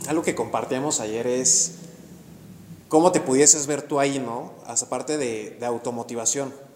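There is noticeable background noise behind this man. He speaks fairly slowly at a medium pitch with ordinary pitch variation. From Mexico, Actopan, Hidalgo. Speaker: real estate podcast host, architect. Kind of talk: casual interview chat.

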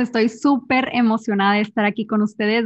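Fairly high-pitched and somewhat breathy, a woman speaks at a moderate pace. Her intonation is fairly even. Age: 20s. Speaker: entrepreneur and speaker. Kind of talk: casual interview chat.

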